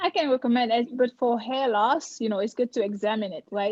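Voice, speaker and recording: Dry and close with no echo, a woman's voice carries an African accent, fairly even intonation, and a dark, mellow tone. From Cameroon. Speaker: dermatologist. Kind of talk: live presentation Q&A. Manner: conversational.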